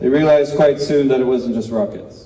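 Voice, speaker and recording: A man speaks with lively intonation at a moderate pace. Room echo is audible. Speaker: hostage family member, campaigner. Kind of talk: rally speech. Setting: memorial rally with audience.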